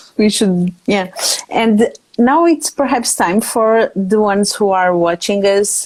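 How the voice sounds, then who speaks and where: Speaking very slowly in a Portuguese accent, a woman uses a medium pitch and ordinary pitch variation. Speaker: interview host. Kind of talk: casual interview. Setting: Instagram Live video call. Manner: halting.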